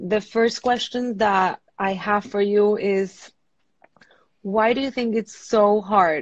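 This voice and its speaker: With a Venezuelan accent, a woman speaks at a fairly slow pace. Her medium pitch carries fairly even intonation. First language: Spanish. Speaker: marriage and family therapist. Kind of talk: interview on a live stream.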